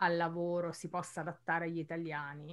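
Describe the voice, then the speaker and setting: The speech moves at a moderate pace. It is delivered in an ordinary speaking voice. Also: woman. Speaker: Italian teacher, podcast co-host. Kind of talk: casual chat.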